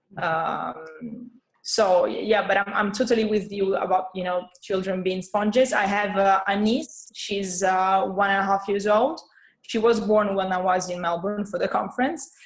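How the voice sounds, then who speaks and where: A woman with an Italian accent, fairly slow pace, and fairly even intonation. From Italy, Rome. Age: 30s. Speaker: guest from abroad. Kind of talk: casual chat. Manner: halting.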